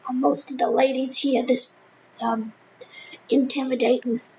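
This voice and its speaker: A woman's put-on character voice, raspy and high-pitched, in a monotone, flat delivery at a moderate pace. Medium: virtual streamer. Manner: rambling, hesitant.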